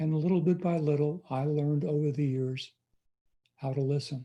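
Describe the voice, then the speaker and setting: Recorded very cleanly against a silent background, a man with a fairly high pitch and a dark, mellow tone speaks somewhat breathily at a fairly slow pace. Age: 80s+. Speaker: pastor. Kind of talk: sermon.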